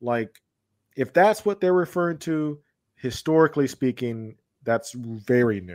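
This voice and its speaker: A medium-pitched man at a fairly slow pace, with very wide pitch swings and big swings in loudness. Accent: American. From US South, Georgia. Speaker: philosophy and history educator. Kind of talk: casual chat. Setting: video call.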